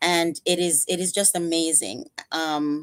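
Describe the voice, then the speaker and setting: A woman speaks with a Jamaican accent. Her pitch is fairly low, and her intonation stays fairly even. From Jamaica, Kingston. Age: 50s. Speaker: psychotherapist and life coach. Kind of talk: interview.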